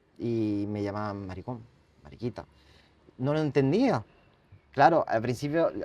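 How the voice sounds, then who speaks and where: Delivered at a fairly slow pace in a French accent, the speech has lively intonation and long, frequent pauses. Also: man, medium pitch for a man. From France, then Catalonia. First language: French (speaking Spanish). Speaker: writer and bullying survivor. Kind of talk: interview testimony. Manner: halting.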